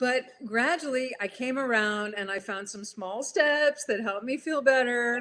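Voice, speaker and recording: The tone is bright and sharp, with big swings in loudness and ordinary pitch variation. Delivery is fairly slow, with hardly any pauses. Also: woman, high pitch for a woman. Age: 60s. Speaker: health coach and personal trainer. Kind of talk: live interview. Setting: live video stream.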